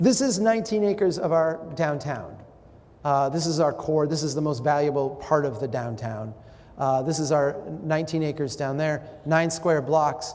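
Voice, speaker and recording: A man speaks with an Upper Midwest accent and a fairly high pitch. Room echo is audible. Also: ordinary pitch variation, moderate pace. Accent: Upper Midwest American. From Minnesota, Brainerd. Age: 40s. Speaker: urban planning speaker. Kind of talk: public talk with audience interaction. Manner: animated.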